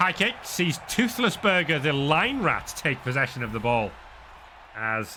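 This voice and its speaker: In a northern English accent, a man speaks at a fairly slow pace. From northern England. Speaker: sports commentator. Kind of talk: live commentary.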